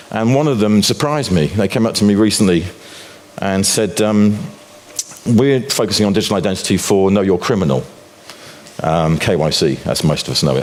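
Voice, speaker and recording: A man's fairly low-pitched voice, fairly quick with long, frequent pauses, lively intonation and very even loudness, with audible room echo and noticeable background noise. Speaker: financial commentator and author. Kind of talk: conference talk. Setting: stage with audience.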